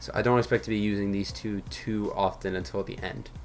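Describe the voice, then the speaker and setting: A man speaks with music playing in the background. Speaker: gaming youtuber. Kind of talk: gameplay commentary. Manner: fast; frequent fillers.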